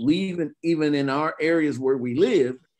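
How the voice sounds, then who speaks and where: A man with lively intonation at a moderate pace. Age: 60s. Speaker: lawyer. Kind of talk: panel discussion. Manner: halting.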